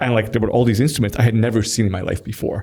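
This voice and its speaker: A man speaks with a Persian accent at a fairly low pitch. His voice is somewhat breathy. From Iran, moved to Toronto at 12. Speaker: tech company executive. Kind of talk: podcast interview. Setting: in-person studio interview. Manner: casual, many fillers and restarts.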